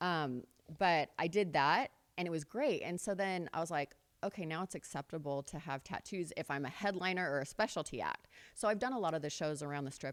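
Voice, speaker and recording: A woman with an American accent uses a normal speaking voice, fairly low in pitch, with lively intonation at a fairly quick pace on a very clean recording with a silent background. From California. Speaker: pin-up model. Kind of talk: casual interview.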